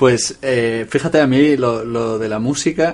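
This man has a plain, everyday voice at a medium pitch. His intonation stays fairly even. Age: 30s. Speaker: journalist, podcast co-host. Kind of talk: casual chat.

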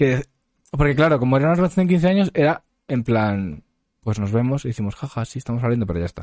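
The recording is dry and close, without any echo. It is a man talking. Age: 20s. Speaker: podcast host. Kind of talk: casual chat.

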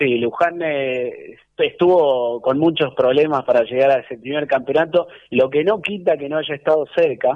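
This man has an unremarkable speaking voice with a fairly high pitch. He keeps a moderate pace and ordinary pitch variation. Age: 30s. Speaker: club historian. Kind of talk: radio interview. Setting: at home.

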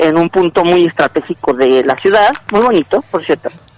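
Over noticeable background noise, a man speaks at a fairly quick pace with very wide pitch swings in a dry, close sound with no echo. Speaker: film commentator. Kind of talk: casual chat. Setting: outdoors.

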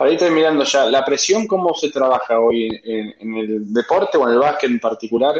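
A man talks at a fairly quick pace with lively intonation and hardly any pauses. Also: medium pitch for a man. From Argentina, General Roca. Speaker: podcast host, company director. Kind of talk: interview conversation.

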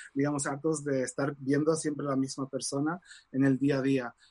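A man with an unremarkable speaking voice, fairly high in pitch, at a moderate pace, in a dry, close sound with no echo. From Morocco (Casablanca), Spanish mother. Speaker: tarot reader and author. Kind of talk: interview.

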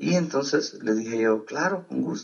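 Pitch swings run very wide as this man talks at a medium pitch. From El Salvador. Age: 30s. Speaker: pastor. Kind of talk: interview testimony.

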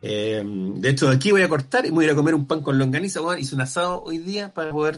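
A man with a Chilean accent speaks at a very fast pace. His pitch is fairly high, and his intonation is lively. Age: 40s. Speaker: comedian and screenwriter. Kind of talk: casual chat.

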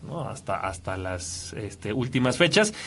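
This man speaks in a Mexican accent at a fairly slow pace, with medium pitch and a bright, sharp tone. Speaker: radio host. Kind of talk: casual chat.

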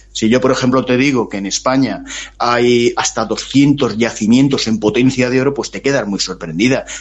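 It is an unremarkable speaking voice with fairly even intonation. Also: man, medium pitch for a man, moderate pace. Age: 60s. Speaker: author. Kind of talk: interview.

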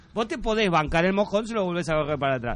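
A man talking at a very fast pace. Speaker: radio host. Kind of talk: casual chat.

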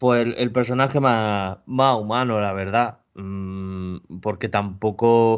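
Speaking at a very slow pace with hardly any pauses, a man uses a fairly low pitch and fairly even intonation. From Murcia, Spain. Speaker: podcast co-host. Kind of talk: casual chat.

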